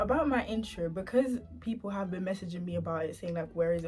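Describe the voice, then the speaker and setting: Against background music, a woman talks quietly and fairly quickly in a fairly low pitch. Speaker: YouTuber. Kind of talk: casual storytime vlog. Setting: at home at night. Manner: quiet, speaking low.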